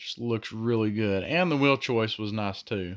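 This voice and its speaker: A man with a Southern US accent talks at a medium pitch with ordinary pitch variation. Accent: southern drawl. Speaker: diecast toy collector youtuber. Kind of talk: casual product review. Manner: hesitant, many fillers and repeats.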